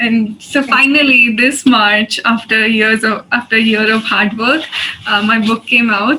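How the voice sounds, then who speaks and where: A woman speaks at a fairly high pitch with fairly even intonation and very even loudness. Noticeable background noise runs underneath. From India. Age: 20s. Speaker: poet. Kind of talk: poetry reading.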